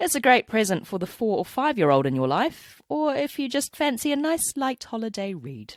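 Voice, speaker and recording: This woman has a New Zealand accent and very wide pitch swings, speaking at a moderate pace. The recording is very clean with a silent background, dry and close with no echo. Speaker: podcast host and cellist. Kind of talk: scripted podcast outro; reading listener story aloud.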